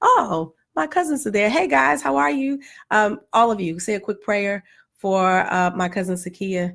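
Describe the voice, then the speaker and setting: A woman talks at medium pitch with very wide pitch swings. The recording is very clean, with a silent background. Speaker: vlogger, parent. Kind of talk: casual chat. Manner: fast.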